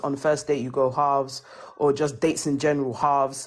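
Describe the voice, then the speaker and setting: A woman speaks at a fairly quick pace with a British accent. Her voice is very deep and low. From England. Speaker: panelist in livestream discussion. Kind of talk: casual chat. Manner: animated.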